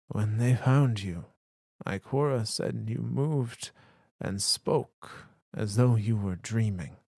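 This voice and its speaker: Using a put-on character voice at a medium pitch, a man talks at a fairly slow pace in a very clean recording with a silent background. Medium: read story. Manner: slow, warm, patient.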